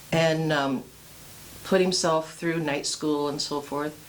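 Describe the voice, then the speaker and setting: A woman with a very deep, low pitch speaks at a fairly slow pace and fairly even intonation. Audible room echo and noticeable background noise fill the recording. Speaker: oral history interviewee, widow of a former mayor. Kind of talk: oral history interview.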